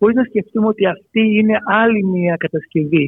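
A man speaks with ordinary pitch variation. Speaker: archaeology professor. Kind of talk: radio interview.

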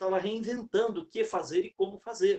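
A man speaks at a moderate pace. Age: 60s. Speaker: sales speaker and consultant. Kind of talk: talk within a live interview. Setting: live stream.

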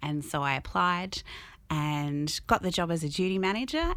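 A woman with an Australian accent is heard on a very clean recording with a silent background. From Albury, New South Wales, Australia. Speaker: cinema general manager. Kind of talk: interview.

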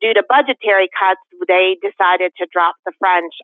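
A woman with a plain, everyday voice speaks in an American accent at a moderate pace and medium pitch. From Connecticut, West Hartford. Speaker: school board member. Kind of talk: interview.

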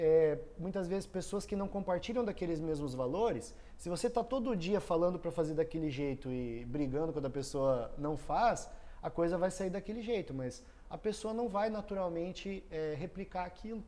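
A man's high-pitched, dark and mellow voice at a moderate pace, with lively intonation. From southern Brazil, Foz do Iguaçu, Paraná. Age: 30s. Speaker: entrepreneur and electrical engineer. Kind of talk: casual interview.

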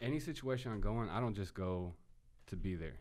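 With an American accent, a man talks at a moderate pace with a fairly low pitch. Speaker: photographer, videographer and rapper. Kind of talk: casual chat.

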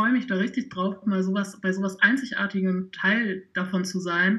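This woman's voice sits at a medium pitch with a bright, sharp tone. Her intonation is fairly even and her pace moderate. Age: 20s. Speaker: trumpet player and social media volunteer. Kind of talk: podcast interview.

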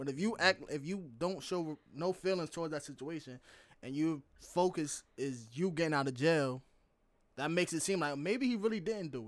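In a very clean recording with a silent background, a man with a plain, everyday voice speaks at a moderate pace with lively intonation and a fairly high pitch. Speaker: football coach and semi-pro player. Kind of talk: casual chat.

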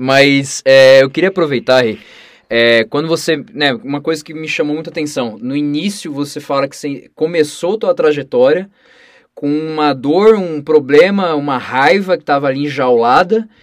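An unremarkable speaking voice from a man, fairly high in pitch, with ordinary pitch variation, big swings in loudness and a moderate pace. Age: 20s. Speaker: podcast host. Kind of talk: podcast interview.

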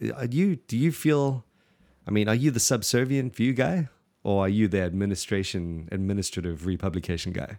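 A man's fairly low, dark, mellow voice with lively intonation at a fairly quick pace. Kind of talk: casual theological discussion. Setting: remote podcast recording.

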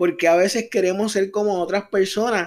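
Animated in tone, a man speaks at a fairly slow pace and a high pitch. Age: 30s. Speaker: podcast host. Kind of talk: motivational talk.

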